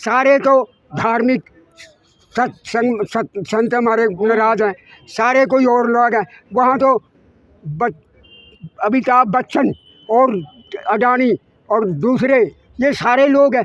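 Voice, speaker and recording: Long, frequent pauses break up a man's extremely high-pitched speech, which has ordinary pitch variation and a dry, close sound with no echo. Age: 80s+. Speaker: trade unionist. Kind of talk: street interview. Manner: loud, forceful; animated.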